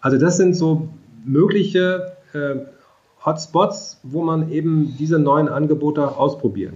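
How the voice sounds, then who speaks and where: Fairly high in pitch with ordinary pitch variation, a man talks at a fairly slow pace in a plain, everyday voice. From rural Germany. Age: 50s. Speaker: mobility agency director, economist. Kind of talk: interview.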